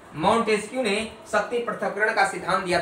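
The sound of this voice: Audible room echo follows a man speaking at a fairly quick pace, his tone fairly bright and his pitch high.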